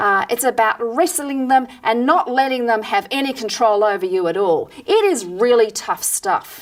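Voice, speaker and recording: Her pitch high and swinging very widely, a woman talks at a moderate pace with hardly any pauses. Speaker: psychologist and EFT practitioner. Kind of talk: tutorial. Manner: soft-spoken.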